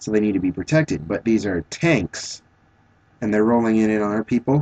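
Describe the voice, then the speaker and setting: Mumbling at a moderate pace, a man with a fairly low voice and ordinary pitch variation is heard in a dry, close recording with no echo. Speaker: vlogger. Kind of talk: video response monologue. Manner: halting.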